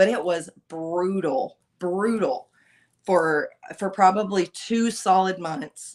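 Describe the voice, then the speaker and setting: Loud and at a very slow pace, a woman talks with ordinary pitch variation. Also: medium pitch for a woman. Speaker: podcast guest. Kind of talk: casual chat.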